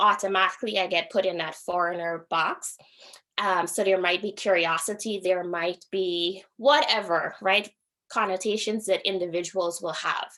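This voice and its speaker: A woman's bright, sharp tone with fairly even intonation, on a very clean recording with a silent background. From Guyana. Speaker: university diversity speaker, PhD academic. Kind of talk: lecture.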